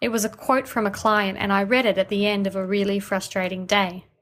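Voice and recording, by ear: A woman's plain, everyday voice at medium pitch and a fairly quick pace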